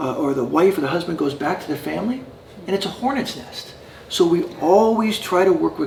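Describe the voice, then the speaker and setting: Through noticeable background noise, a man with a fairly high voice speaks fairly quickly with ordinary pitch variation. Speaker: addiction recovery program founder. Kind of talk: interview. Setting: in person at a residence. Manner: halting with many fillers.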